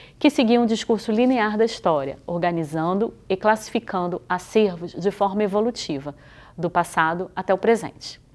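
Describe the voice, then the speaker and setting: A woman speaks at a medium pitch. Her pace is moderate, with ordinary pitch variation. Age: 40s. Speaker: museologist and historian teaching a workshop; presenter. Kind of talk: scripted video lecture.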